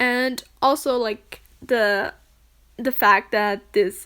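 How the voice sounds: Speaking in a German accent, a woman has a fairly high pitch and a fairly bright tone. Her intonation stays fairly even.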